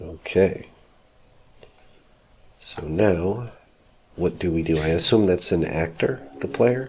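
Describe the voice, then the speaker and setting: A man mumbles in a very deep, low voice with lively intonation, over noticeable background noise. He talks at a very slow pace, with long, frequent pauses. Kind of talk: casual tutorial conversation. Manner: mumbling.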